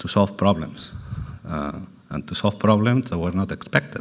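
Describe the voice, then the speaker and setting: A man speaks with a very deep, low pitch and ordinary pitch variation. His pace is fairly slow. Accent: Spanish. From Spain. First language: Spanish. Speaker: panel speaker, food sector executive. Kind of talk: panel talk. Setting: roundtable event.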